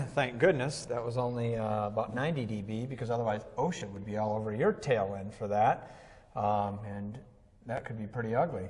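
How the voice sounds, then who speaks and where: Loudness swings widely as a man at a medium pitch speaks at a fairly quick pace, with audible room echo. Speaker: audio instructor. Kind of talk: instructional conversation. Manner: animated.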